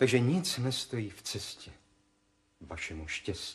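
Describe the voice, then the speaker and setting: This man talks at a very slow pace, and his pitch swings very widely. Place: studio.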